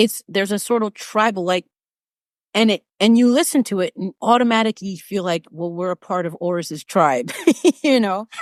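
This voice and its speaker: In an American accent, an ordinary speaking voice moves at a moderate pace with ordinary pitch variation and a dry, close sound with no echo. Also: woman, medium pitch for a woman. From United States. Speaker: vocal coach and podcast host. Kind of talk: interview conversation.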